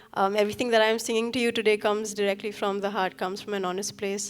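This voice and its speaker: Very fast and monotone, with flat intonation, a woman speaks at medium pitch in a Nepali accent. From Sikkim, India. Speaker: singer-songwriter. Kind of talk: stage talk between songs. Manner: hesitant, many fillers.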